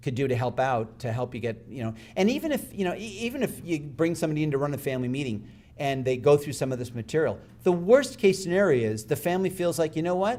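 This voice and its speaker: The speech moves at a fairly quick pace. Room echo is audible throughout. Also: man. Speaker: speaker on family wealth advising. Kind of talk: conference talk. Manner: fast.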